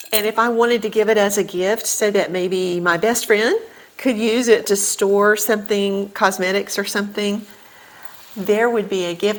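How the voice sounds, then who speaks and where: Over noticeable background noise, a woman with a medium-pitched voice talks at a moderate pace with fairly even intonation. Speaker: artist. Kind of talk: painting tutorial. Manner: relaxed, frequent ums.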